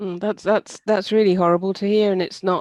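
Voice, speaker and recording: A woman with an English accent talks in a monotone, flat way, the sound dry and close with no echo. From southern England. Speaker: livestream host. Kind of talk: casual chat. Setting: livestream. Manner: halting.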